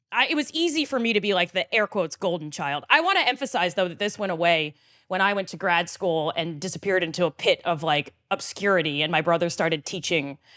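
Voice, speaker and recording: On a very clean recording with a silent background, a woman with a fairly low pitch and a bright, sharp tone speaks at a very fast pace with hardly any pauses. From US Mid-Atlantic, Frederick, Maryland. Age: 40s. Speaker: podcast guest, storyteller. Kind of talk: casual chat.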